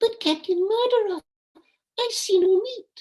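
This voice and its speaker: Using a squeaky put-on character voice, a man talks at a moderate pace with an extremely high pitch. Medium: stage play. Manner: wide-eyed, questioning.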